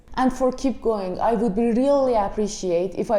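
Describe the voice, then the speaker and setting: In an Iranian accent, a woman speaks with a fairly high pitch and a dark, mellow tone. Her pace is moderate and her intonation fairly even. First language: Persian. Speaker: movie reviewer. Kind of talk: casual video review.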